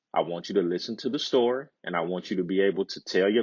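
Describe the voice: Plain reading aloud, quiet surroundings, pitch moving in an ordinary way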